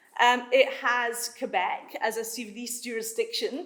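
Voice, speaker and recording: A woman's high, bright, sharp voice at a very slow pace, full of lively intonation. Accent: Scottish. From Scotland. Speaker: law professor. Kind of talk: conference talk. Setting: conference room with audience.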